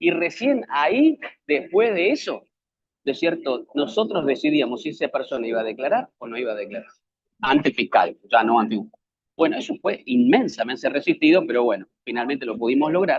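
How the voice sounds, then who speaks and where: A man with an Argentine accent talks at a fairly quick pace in a fairly high pitch. His pitch swings very widely, and his loudness shifts in big swings. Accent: Argentine Spanish (Rioplatense). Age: 60s. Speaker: public defender and lecturer. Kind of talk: lecture.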